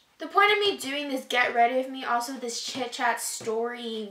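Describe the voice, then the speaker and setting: A woman's raised, projected voice at a moderate pace, with audible room echo. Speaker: beauty vlogger. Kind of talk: casual vlog chat. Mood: reflective, somewhat emotional. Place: home room. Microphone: camera far.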